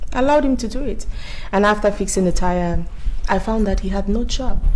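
A woman delivers her words at a fairly quick pace with light background noise behind her. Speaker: actress playing house owner. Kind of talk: scripted drama dialogue. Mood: chatty, amused. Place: home room.

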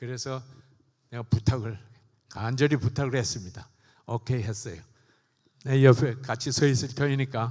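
A somewhat breathy man at a moderate pace, fairly even intonation, long and frequent pauses, and a quiet background. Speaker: church elder. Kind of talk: congratulatory speech. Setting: church. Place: church. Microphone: handheld.

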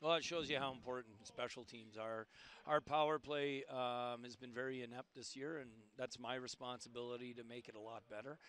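A man at a fairly quick pace, medium pitch, fairly even intonation, and a clear, smooth, fairly bright tone

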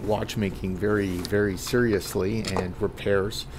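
A man with a fairly low pitch speaks over light background noise. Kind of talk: casual narration while working. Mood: amused, self-deprecating. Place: workshop. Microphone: phone near.

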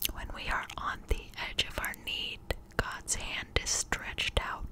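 The pace is fairly slow. The speaker whispers. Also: woman. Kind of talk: devotional reading with commentary, ASMR. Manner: whispered, slow, soft. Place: home room. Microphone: studio mic.

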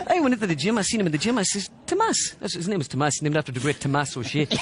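A man talking very fast, dry with no echo, against noticeable background noise. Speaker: comedian impersonating a pundit. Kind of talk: comic impression monologue. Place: hall.

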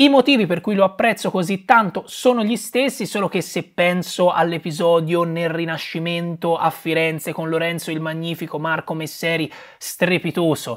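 With a Tuscan accent, a man speaks at a moderate pace and a high pitch with ordinary variation. The background is quiet. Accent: Tuscan Italian. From Tuscany, Italy. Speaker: film reviewer youtuber. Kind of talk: casual film review monologue. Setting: at home beside Christmas tree. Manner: animated. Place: home room.

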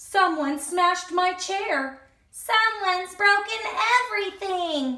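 A woman puts on a character voice, extremely high and bright with a sharp edge. Her intonation is lively and her pace slow.

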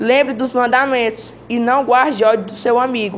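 Amid light background noise, a woman speaks fairly slowly with fairly even intonation. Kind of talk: scripture reading. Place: classroom.

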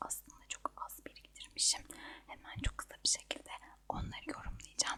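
Noticeable background noise sits under a woman whispering at a moderate pace. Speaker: ASMR creator. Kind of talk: ASMR monthly empties review talk to camera. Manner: whispered.

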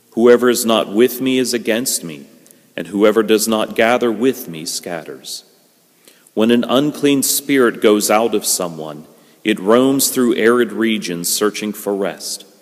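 Fairly slow male speech with ordinary pitch variation against a quiet background. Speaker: priest. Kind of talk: liturgical scripture reading. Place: church.

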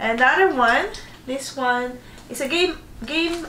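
Over light background noise and audible room echo, a woman speaks at a fairly slow pace with lively intonation. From Philippines. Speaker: vlogger. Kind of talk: casual unboxing vlog. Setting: bedroom at home. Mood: cheerful, festive. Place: home room. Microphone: camera far.

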